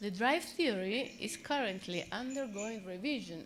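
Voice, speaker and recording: Her intonation lively and her pace fairly slow, a woman with an Italian accent speaks with audible room echo. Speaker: psychoanalyst. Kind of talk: conference talk.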